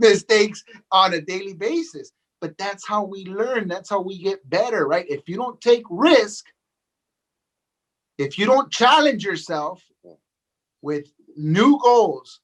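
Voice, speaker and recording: A man with an American accent and a high pitch, lively intonation, a fairly slow pace and long, frequent pauses. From Los Angeles, California. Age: 40s. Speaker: real estate agent and coach. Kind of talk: podcast interview. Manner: repetitive, with many fillers.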